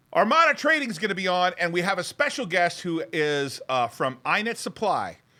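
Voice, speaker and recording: A man speaks in an animated, bright, sharp tone with a raised, projected voice. The recording is very clean, with a silent background. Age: 50s. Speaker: stock market show host and investor. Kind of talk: casual chat. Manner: fast.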